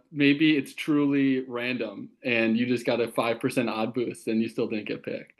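Using a plain, everyday voice, a man speaks at medium pitch and a moderate pace with fairly even intonation and hardly any pauses. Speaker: guest co-host. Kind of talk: casual chat. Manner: jokey, laughs often.

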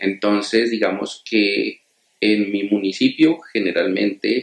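Speaking at a very slow pace, a man uses a fairly low pitch with ordinary pitch variation. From Colombia, Túquerres, Nariño. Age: 40s. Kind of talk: interview.

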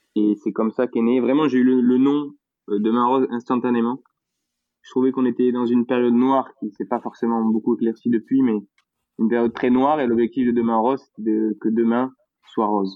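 A man's medium-pitched voice in a Toulouse accent, with monotone, flat intonation. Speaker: entrepreneur behind a local video project. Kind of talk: casual chat interview.

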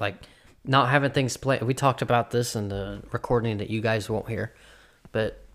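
On a very clean recording with a silent background, a man of medium pitch speaks at a moderate pace. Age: 20s. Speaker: podcast host. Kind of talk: casual banter, comedy chat. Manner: joking, profane.

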